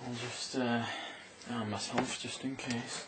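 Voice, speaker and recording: A man speaks at a very slow pace. Loud background noise runs behind him. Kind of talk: acted comedic monologue. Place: home room. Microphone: camera far.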